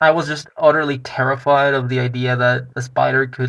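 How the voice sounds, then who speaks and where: A man at a medium pitch and moderate pace, monotone and flat in intonation, against a quiet background. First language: not English. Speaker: personal vlogger. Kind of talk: personal testimony.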